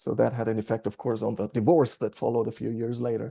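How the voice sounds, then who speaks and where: A man with a German accent at a very fast pace, medium in pitch and dark, mellow in tone, against a quiet background. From Germany. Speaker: AA meeting speaker. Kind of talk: recovery testimony. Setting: recovery group meeting.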